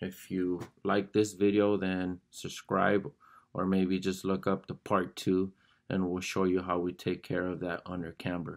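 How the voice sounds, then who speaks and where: Monotone, flat intonation at a fairly slow pace, with a quiet background. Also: man, very deep, low pitch for a man. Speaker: fabric covering instructor. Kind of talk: tutorial. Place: workshop. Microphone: phone near.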